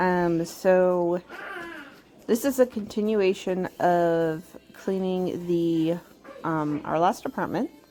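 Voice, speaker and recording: A woman's fairly low pitch at a very slow pace, with long, frequent pauses, ordinary pitch variation and music in the background. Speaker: homemaker and mom vlogger. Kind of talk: casual voiceover for cleaning vlog.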